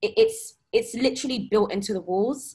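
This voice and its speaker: This woman's voice is somewhat breathy, set against a quiet background. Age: 20s. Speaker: graduate and policy adviser. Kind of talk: panel discussion. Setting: video call. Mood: earnest, reflective. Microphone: video call.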